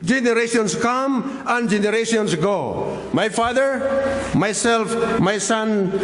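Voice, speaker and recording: A man speaks at an extremely high pitch, very slowly with hardly any pauses, ordinary pitch variation and very even loudness, with audible room echo and noticeable background noise. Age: 60s. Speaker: pastor. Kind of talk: sermon.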